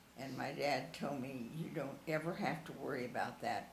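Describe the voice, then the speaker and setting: Speaking at a fairly slow pace, a woman has a very deep, low pitch. Noticeable background noise runs behind her. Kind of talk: interview answer.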